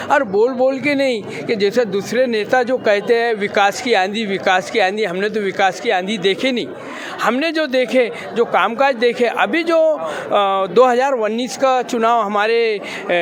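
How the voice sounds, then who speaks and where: A man with an extremely high pitch and ordinary pitch variation is heard with audible room echo and noticeable background noise. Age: 60s. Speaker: political party supporter. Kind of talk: street interview.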